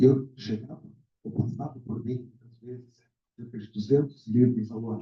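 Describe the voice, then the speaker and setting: A man speaks in a dark, mellow tone that is somewhat breathy. His intonation is fairly even. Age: 60s. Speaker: literary mentor. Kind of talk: book launch speech. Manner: halting.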